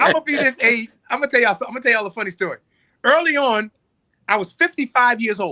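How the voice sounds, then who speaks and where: This man uses a raised, projected voice at an extremely high pitch, with a bright, sharp tone and ordinary pitch variation. He speaks at a very fast pace, and the sound is dry and close with no echo. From US Northeast, North Philadelphia. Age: 60s. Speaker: musician. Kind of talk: casual chat. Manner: animated.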